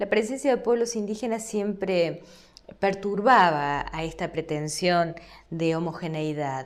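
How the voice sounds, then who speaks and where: Speaking in an Argentine accent, a woman with a fairly low pitch goes at a fairly slow pace. Her intonation is lively, and audible room echo surrounds her voice. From Argentina. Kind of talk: lecture. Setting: recorded online course video.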